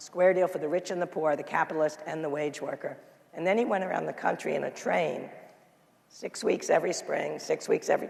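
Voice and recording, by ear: Hoarse and high-pitched, a man does a put-on character voice at a fairly quick pace.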